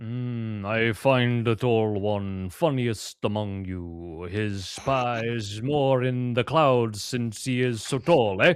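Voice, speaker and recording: A man uses a put-on character voice at medium pitch, moving at a very slow pace with hardly any pauses, in a very clean recording with a silent background. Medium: actual play. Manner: broken, halting speech.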